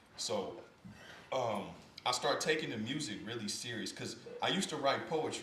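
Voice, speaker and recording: A man with an American accent at a moderate pace, with very wide pitch swings, audible room echo and noticeable background noise. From Kansas City, Missouri. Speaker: podcast host and former record label executive. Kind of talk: interview. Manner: relaxed conversational.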